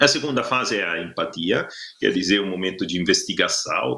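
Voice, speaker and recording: With an Italian accent, a man speaks at a moderate pace. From Italy. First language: Italian (speaking Portuguese). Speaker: workshop facilitator. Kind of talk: online workshop presentation. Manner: halting, many filler sounds.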